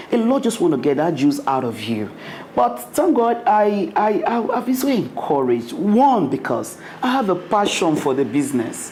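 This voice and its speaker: A woman speaks at a moderate pace with very wide pitch swings, amid noticeable background noise and audible room echo. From Nigeria. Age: young. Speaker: restaurant owner. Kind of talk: interview.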